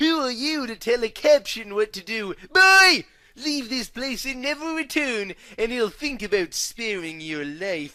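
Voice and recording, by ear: Bellowing in a put-on character voice, a man pushes his pitch extremely high with big pitch swings, a bright, sharp tone and a fairly slow pace.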